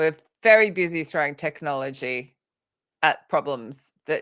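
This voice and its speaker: A woman's very deep, low voice with an Australian accent and ordinary pitch variation, dry and close with no echo, on a very clean recording with a silent background. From Australia (Sydney). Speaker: author and recruitment trainer. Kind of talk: interview on a live vodcast.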